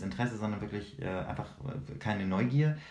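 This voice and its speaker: With lively intonation and a somewhat breathy quality, a man talks in a room with audible echo. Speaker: podcast co-host. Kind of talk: casual chat.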